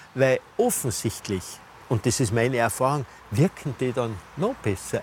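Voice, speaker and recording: An ordinary speaking voice from a man at a moderate pace, with lively intonation. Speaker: physician and health show host. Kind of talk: casual conversational interview. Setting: outdoors in a rooftop garden.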